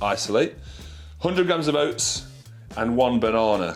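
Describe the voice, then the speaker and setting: Music plays in the background as a man talks. His pace is moderate, with ordinary pitch variation. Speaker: IFBB pro bodybuilder. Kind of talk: casual talk to camera.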